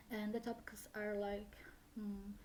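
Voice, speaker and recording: A woman speaks at medium pitch with a Brazilian accent. Noticeable background noise is present. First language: Brazilian Portuguese. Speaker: language learner vlogger. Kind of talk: casual vlog talk. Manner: hesitant, many fillers.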